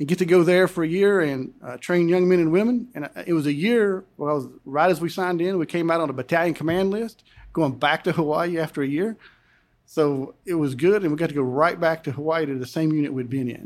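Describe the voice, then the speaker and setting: A fairly high-pitched man with an Appalachian accent and ordinary pitch variation, in a very clean recording with a silent background. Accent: Southern US, Appalachian. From Western North Carolina, Buncombe County. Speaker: congressional candidate, retired army colonel. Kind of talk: interview.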